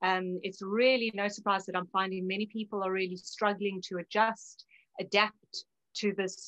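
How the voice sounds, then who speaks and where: In a South African accent, a woman speaks at a medium pitch and a moderate pace. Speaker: naturopath. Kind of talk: interview.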